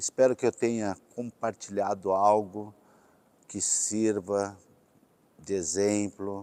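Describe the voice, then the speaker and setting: In a dark, mellow tone, a man speaks at a very slow pace with a fairly low pitch and monotone, flat intonation, in a dry, close sound with no echo. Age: 60s. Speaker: company president. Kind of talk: corporate talk to employees.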